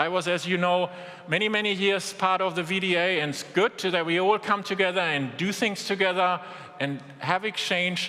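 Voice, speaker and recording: Over noticeable background noise, a man talks in a strong German accent. His pitch is high and his intonation fairly even. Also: moderate pace. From Germany. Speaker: business executive. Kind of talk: keynote speech.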